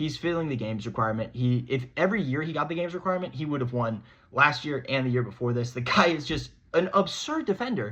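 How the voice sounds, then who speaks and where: The delivery is very fast and animated, with a bright, sharp tone and lively intonation. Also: man, fairly high pitch for a man. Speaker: sports podcast host. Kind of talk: solo sports commentary monologue.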